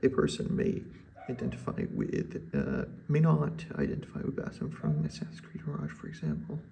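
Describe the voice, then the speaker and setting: A man whispers against noticeable background noise. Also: moderate pace. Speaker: student reading an assignment while gaming. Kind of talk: reading aloud a written essay with asides. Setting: at home at 4 am. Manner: whispering.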